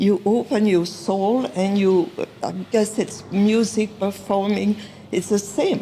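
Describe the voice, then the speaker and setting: Over noticeable background noise, a woman speaks at a very slow pace with a medium pitch, fairly even intonation and very even loudness. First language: not English. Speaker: artist. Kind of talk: interview. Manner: halting.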